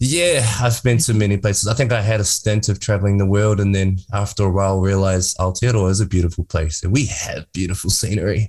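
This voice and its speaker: A man with a somewhat breathy voice and a fairly low pitch speaks at a very fast pace with hardly any pauses, very even loudness, and ordinary pitch variation, on a very clean recording with a silent background. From New Zealand, Māori, Wanganui. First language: Māori. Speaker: filmmaker and entrepreneur. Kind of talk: interview.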